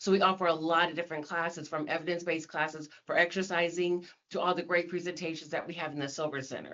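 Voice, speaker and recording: A woman with an ordinary speaking voice talks at a fairly quick pace in a fairly low pitch. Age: 60s. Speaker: senior center coordinator. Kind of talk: podcast interview.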